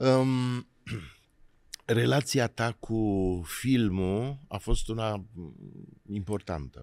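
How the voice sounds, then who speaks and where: A man speaks at a medium pitch with ordinary pitch variation. His pace is very slow, with long, frequent pauses. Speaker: podcast host, actor. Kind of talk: interview.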